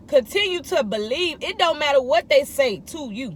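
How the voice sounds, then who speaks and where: A woman's high-pitched, animated voice with lively intonation, at a moderate pace, over noticeable background noise. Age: 30s. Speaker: vlogger. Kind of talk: inspirational monologue.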